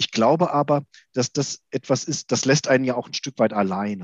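A man's plain, everyday voice at medium pitch, with ordinary pitch variation and a moderate pace, dry and close with no echo over a quiet background. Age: 40s. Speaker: systemic coach and organisational developer. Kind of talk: interview.

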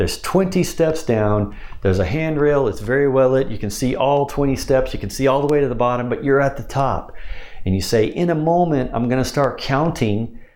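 A man speaks with a plain, everyday voice at a fairly high pitch. His pace is moderate and his pitch variation ordinary. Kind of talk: instructional talk about hypnosis scripts, with trance-induction wording.

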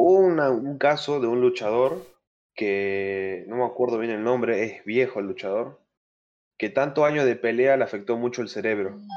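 At a moderate pace, a man with a plain, everyday voice speaks at a medium pitch with ordinary pitch variation. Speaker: podcast guest, wrestling fan. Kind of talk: casual chat. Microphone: new microphone.

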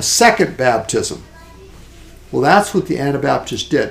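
Vocal fry runs through a man's voice as it swings very widely in pitch. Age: 60s. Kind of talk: casual chat. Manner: halting.

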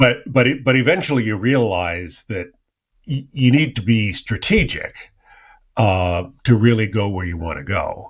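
A man speaks fairly slowly in a normal speaking voice with a medium pitch and lively intonation, on a very clean recording with a silent background. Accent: American. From US West Coast (Silicon Valley, California). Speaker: podcast host. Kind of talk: interview.

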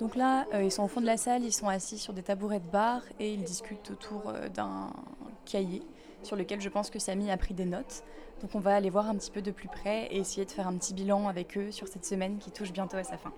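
A quiet woman's voice at a fairly quick pace with fairly even intonation. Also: medium pitch for a woman. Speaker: civic volunteer reporter. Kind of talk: audio vlog narration.

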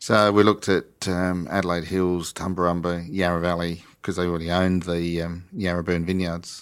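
A man with an Australian accent speaks at a moderate pace with hardly any pauses, his very deep, low pitch held in a monotone, flat intonation, on a very clean recording with a silent background. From England, east coast; raised in Australia from mid-1960s. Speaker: sparkling winemaker. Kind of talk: interview conversation.

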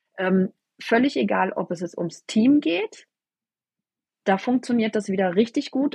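This woman's voice sits fairly high in pitch and sounds somewhat breathy. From southern Baden, Germany. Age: 40s. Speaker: network marketing team leader. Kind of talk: interview. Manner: hesitant, many fillers.

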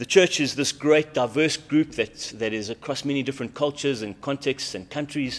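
This man has an ordinary speaking voice at medium pitch, with ordinary pitch variation and a fairly quick pace. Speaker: pastor leading prayer. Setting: church prayer meeting streamed online.

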